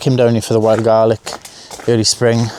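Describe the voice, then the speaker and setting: Soft-spoken with a Welsh accent, the voice comes over noticeable background noise. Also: man. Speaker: photography vlogger. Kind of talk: vlog narration. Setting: outdoors.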